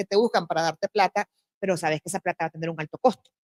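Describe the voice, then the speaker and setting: A woman speaks at a very fast pace with ordinary pitch variation, her sound dry and close with no echo. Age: 50s. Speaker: festival director. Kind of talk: panel discussion.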